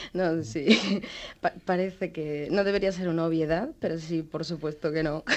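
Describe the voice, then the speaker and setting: The pace of this voice is fairly slow, with ordinary pitch variation. It is an ordinary speaking voice. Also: woman, fairly low pitch for a woman. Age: 30s. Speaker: comic artist. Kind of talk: interview. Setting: remote radio studio.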